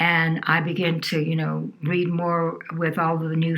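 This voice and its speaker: A woman speaks with a fairly low pitch. Noticeable background noise runs underneath. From New Orleans, Louisiana. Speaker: healer and environmental advocate. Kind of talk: interview answer.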